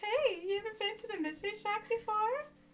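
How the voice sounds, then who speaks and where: A squeaky, put-on character voice at an extremely high pitch moves at a fairly quick pace over clear background noise. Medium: game stream. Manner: comic overacting.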